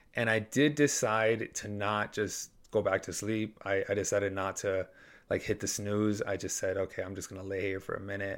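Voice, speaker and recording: A man's unremarkable speaking voice at a moderate pace, ordinary pitch variation, very clean recording with a silent background. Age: 20s. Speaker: fitness podcaster. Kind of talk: casual monologue.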